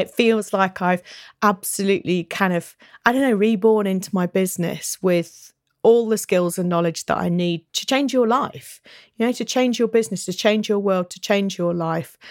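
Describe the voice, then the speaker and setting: With a British accent, a woman talks at a moderate pace and medium pitch, her pitch varying in an ordinary way. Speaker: business coach. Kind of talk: solo podcast monologue. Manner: animated.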